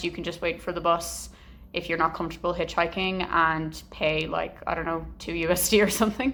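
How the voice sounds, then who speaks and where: Her voice is fairly low-pitched for a woman, bright and sharp with vocal fry, and she talks at a fairly quick pace. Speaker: travel vlogger. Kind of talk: travel vlog talk to camera. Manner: loud; casual, filler-heavy.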